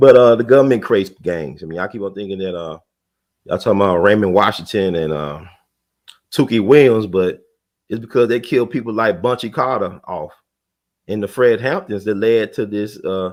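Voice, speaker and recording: The delivery runs at a fairly quick pace with ordinary pitch variation. Its loudness shows big swings. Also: man, fairly low pitch for a man. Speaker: online talk show host. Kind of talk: casual monologue. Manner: fast; animated.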